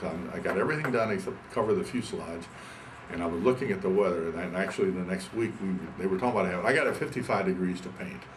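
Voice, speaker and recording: A man's very deep, low voice at a very fast pace, with ordinary pitch variation, audible room echo and noticeable background noise. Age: 70s. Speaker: pilot and aircraft builder. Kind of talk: oral history interview. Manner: halting, many repetitions.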